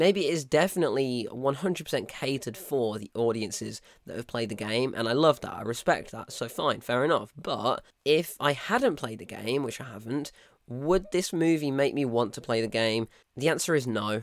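In a British accent, a man at medium pitch talks at a moderate pace with lively intonation, captured in a very clean recording with a silent background. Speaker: film review podcaster. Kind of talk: solo film review. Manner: casual conversational.

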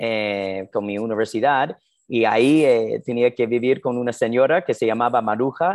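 A man with an American accent at medium pitch and a moderate pace, against a quiet background. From US Northeast (New Jersey). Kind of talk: interview.

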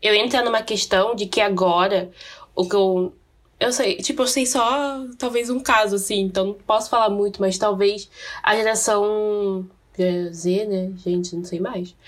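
A woman with a normal speaking voice talks at medium pitch and a fairly slow pace, using ordinary pitch variation. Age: 20s. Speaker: podcast co-host. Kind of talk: casual chat.

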